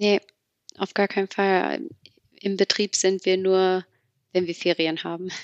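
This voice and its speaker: Her pace is fairly slow, with long, frequent pauses and monotone, flat intonation. The woman's pitch is medium, and the sound is dry and close with no echo. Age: 20s. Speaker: trainee office clerk. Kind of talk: casual interview. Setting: video call. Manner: halting, many fillers.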